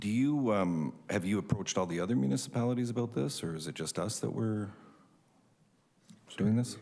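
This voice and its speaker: Mumbling at a fairly quick pace with lively intonation and long, frequent pauses, a man has a dark, mellow tone amid audible room echo. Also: fairly low pitch for a man. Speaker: city councillor. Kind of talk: council meeting questioning.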